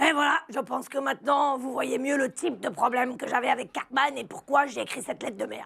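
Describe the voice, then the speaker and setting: In a put-on character voice, the speaker goes at a fairly quick pace with hardly any pauses, sounding raspy and high-pitched. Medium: fan dub. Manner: jokey, crude.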